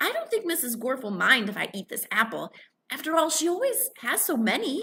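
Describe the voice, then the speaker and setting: A woman's put-on character voice, high-pitched, fairly quick, with very wide pitch swings. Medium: read story.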